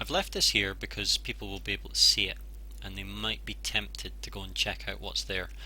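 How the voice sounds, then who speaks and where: Speaking at a moderate pace in a Scottish accent, a man has a very deep, low pitch and a bright, sharp tone. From Scotland. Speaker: games journalist. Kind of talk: casual gameplay commentary.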